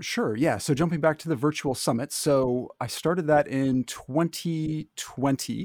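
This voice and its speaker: In a plain, everyday voice, a man talks with ordinary pitch variation and hardly any pauses. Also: fairly high pitch for a man, dry, close sound with no echo, very clean recording, silent background. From Canada. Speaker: board game creator. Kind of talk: casual podcast interview.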